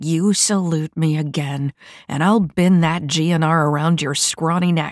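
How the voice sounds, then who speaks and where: Growling in a put-on character voice, the speaker holds a middle pitch at a fairly slow pace. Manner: threatening.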